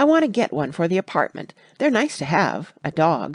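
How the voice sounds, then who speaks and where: In a raspy, put-on character voice at a middle pitch, the speaker swings very widely up and down against a quiet background. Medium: read story.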